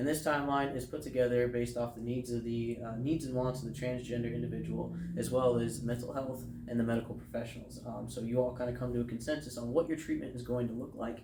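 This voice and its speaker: Through noticeable background noise and audible room echo, a man with an American accent speaks very fast, with hardly any pauses, at a medium pitch and with fairly even intonation. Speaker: air force veteran. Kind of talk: interview. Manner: hesitant.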